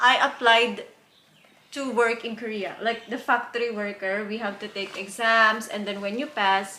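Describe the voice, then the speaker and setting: Spoken at a moderate pace in a flat monotone, the voice has a bright, sharp tone, big swings in loudness, and audible room echo. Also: woman, fairly high pitch for a woman. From Philippines. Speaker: YouTuber and factory worker. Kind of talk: casual interview. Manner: halting, many fillers.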